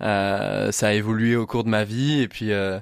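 The recording is very clean with a silent background as a man at a medium pitch talks with fairly even intonation. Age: 20s. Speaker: adventurer and motivational speaker. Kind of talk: radio interview. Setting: studio. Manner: halting, with repetitions.

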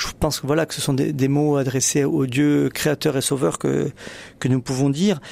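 With a southern French accent, a man speaks at a fairly high pitch. His pace is moderate and his intonation fairly even. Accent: regional southern French accent, noticeable. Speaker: newspaper editor-in-chief, religion. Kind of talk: radio panel discussion. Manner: halting, frequent repetitions.

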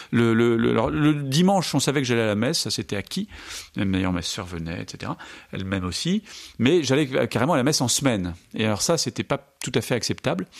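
On a very clean recording with a silent background, a man at a medium pitch talks at a fairly quick pace with very wide pitch swings. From France. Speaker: Dominican friar and Islam scholar. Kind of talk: radio interview. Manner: halting, frequent repetitions.

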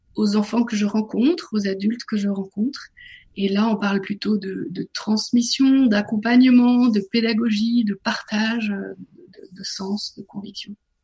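A woman speaks at a fairly slow pace, her tone dark and mellow and somewhat breathy. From northern France. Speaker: author and business coach. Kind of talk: radio interview.

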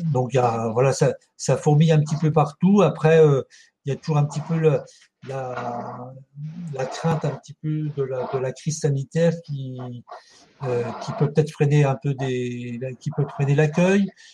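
A man's fairly slow speech with ordinary pitch variation and long, frequent pauses. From France, Ardennes. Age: 60s. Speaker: charity volunteer leader, retired social centre director. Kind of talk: interview. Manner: halting, many hesitations.

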